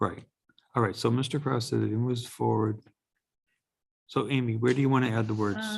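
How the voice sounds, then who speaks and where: A mumbling man at a medium pitch, fairly quick in pace yet with long, frequent pauses, very even loudness and fairly even intonation. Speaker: zoning board chair. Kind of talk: public meeting discussion.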